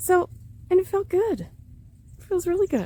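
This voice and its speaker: Over noticeable background noise, a woman speaks in an animated tone at a very fast pace. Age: 50s. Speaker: leadership coach. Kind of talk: casual monologue to camera.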